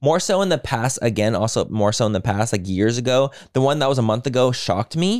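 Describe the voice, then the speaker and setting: An unremarkable speaking voice from a man, fairly quick with hardly any pauses, lively intonation and very even loudness, on a very clean recording with a silent background. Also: medium pitch for a man. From Mexican-American. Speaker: podcast co-host, beauty influencer. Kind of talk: casual chat.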